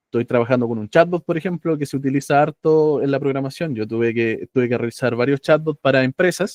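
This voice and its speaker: The man has a plain, everyday voice at a medium pitch with ordinary pitch variation, heard in a dry, close sound with no echo. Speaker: AI course instructor. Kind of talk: online lecture.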